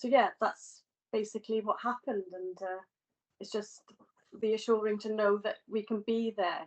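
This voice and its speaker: At a moderate pace, a woman speaks with a dry, close sound and no echo. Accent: Welsh. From Wales. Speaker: healthcare student. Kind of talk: testimony. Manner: halting.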